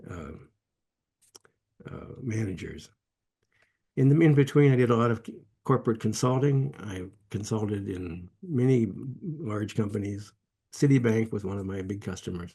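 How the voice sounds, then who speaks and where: A man with an American accent speaks at a moderate pace, leaving long, frequent pauses. His tone is dark and mellow, somewhat breathy, with lively intonation. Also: medium pitch for a man, big swings in loudness. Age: 80s+. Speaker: meditation teacher and entrepreneur. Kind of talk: interview. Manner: halting, with many restarts.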